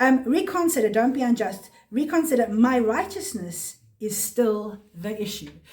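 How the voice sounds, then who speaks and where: This woman's voice sits fairly high in pitch. Her pitch swings very widely. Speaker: Bible teacher. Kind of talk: Bible study teaching. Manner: fast; halting.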